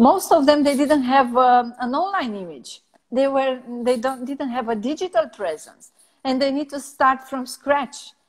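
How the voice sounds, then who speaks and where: A woman's high voice in a Romanian accent, fairly slow, with ordinary pitch variation and big swings in loudness. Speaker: personal branding strategist. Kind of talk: interview. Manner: halting, many fillers.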